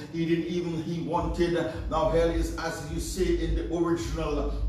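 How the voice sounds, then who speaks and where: Light background noise and audible room echo accompany a man speaking at a fairly slow pace. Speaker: pastor. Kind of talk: sermon. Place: home room. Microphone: camera far.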